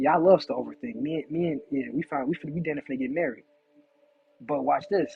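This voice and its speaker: With music in the background, a man with a fairly high pitch talks in an animated tone at a fairly quick pace, showing ordinary pitch variation. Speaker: spiritual teacher. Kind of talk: lecture. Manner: fast.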